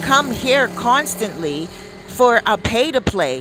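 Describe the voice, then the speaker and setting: A woman's high, animated voice at a fairly slow pace, with very wide pitch swings over noticeable background noise. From Canada, downtown Toronto. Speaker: celebrity news commentator. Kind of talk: casual commentary monologue.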